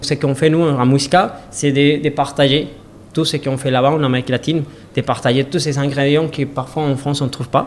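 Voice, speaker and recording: Talking at a fairly quick pace, a man uses a fairly high pitch and flat, monotone intonation. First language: Spanish (speaking French). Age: 30s. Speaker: restaurant owner. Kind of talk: interview. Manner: halting.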